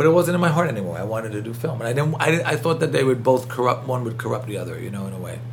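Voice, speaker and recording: A man with an American accent talks very fast, with big swings in loudness and ordinary pitch variation, over noticeable background noise. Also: medium pitch for a man. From New York City (Queens). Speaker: film composer and professor. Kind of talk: interview. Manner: fast talker.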